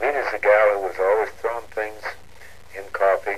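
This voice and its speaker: Noticeable background noise around a man's fairly low-pitched voice. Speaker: war veteran. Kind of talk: personal story reading.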